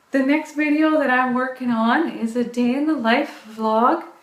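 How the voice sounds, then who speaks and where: A woman with an American accent speaks at a high pitch with ordinary variation. Room echo is audible. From US South (Orangeburg, South Carolina). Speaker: fitness vlogger. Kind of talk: casual chat. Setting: live video stream.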